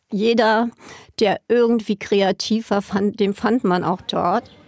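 A woman's fairly high voice at a very slow pace, fairly even in intonation, with a dry, close sound and no echo. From Berlin (West). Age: 60s. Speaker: party scene veteran. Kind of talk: interview recollection.

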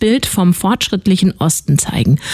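Over noticeable background noise, a woman talks at a medium pitch with lively intonation. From Hesse. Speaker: radio host. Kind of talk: news presentation; radio interview.

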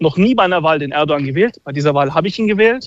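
A man's voice with ordinary pitch variation. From Turkish-German. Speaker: caller. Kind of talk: phone call. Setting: phone call. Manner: animated.

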